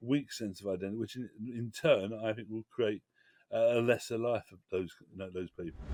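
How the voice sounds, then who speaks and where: A man with a Cockney accent, a medium pitch, fairly even intonation, a moderate pace and big swings in loudness, the sound dry and close with no echo. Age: 60s. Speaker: cultural campaigner. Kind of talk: interview. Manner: halting.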